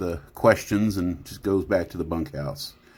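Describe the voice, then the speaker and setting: With an American accent, a man talks at a moderate pace in a very deep, low voice with ordinary pitch variation. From Oklahoma. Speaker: tabletop role-play storyteller. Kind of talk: storytelling narration. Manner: halting, many fillers.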